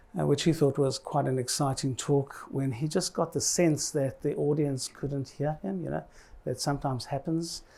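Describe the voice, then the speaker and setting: Fairly even intonation and a dark, mellow tone mark this moderate-paced speech in a New Zealand accent. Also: man, fairly high pitch for a man. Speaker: health commissioner. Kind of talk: conference speech.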